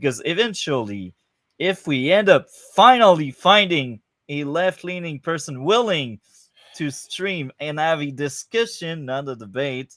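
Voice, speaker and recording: A man speaks in a fairly high pitch with a French accent and lively intonation. His pace is fairly slow, and the sound is dry and close with no echo. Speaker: podcast host. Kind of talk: casual chat. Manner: hesitant, many fillers.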